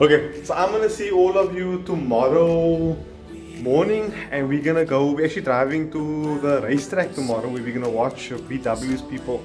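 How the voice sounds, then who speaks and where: A man speaks over clear music in the background. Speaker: vlogger. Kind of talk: casual vlog chat. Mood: excited, pleased. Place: home room. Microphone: phone near.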